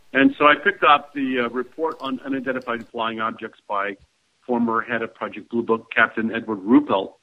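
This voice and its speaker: Speaking at a fairly quick pace, a man with an American accent has a plain, everyday voice, medium pitch and ordinary pitch variation. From Ohio, US Midwest. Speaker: ufology researcher. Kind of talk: interview.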